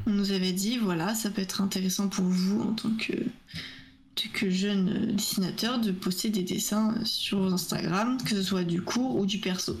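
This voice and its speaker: A woman talks at a fairly slow pace with fairly even intonation, and the room echo is audible. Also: very even loudness. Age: 20s. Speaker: art student and streamer. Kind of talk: casual interview.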